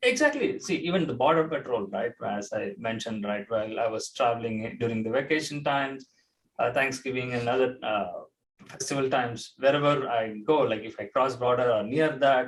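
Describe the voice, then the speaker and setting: Ordinary pitch variation marks the speech of a man with an Indian accent. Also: medium pitch for a man, fairly quick pace. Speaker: charity talk show co-host. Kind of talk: casual chat. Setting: live online talk show. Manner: halting.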